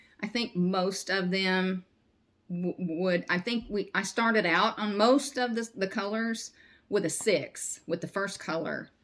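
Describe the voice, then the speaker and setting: On a very clean recording with a silent background, a woman with a Southern US accent speaks at medium pitch with ordinary pitch variation. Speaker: crochet vlogger. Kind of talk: casual chat. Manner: halting.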